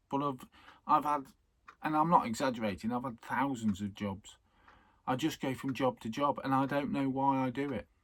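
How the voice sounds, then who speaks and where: A man at medium pitch, with ordinary pitch variation and a moderate pace. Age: 60s. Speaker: vlogger. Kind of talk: casual monologue vlog. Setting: on a boat at night. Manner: halting.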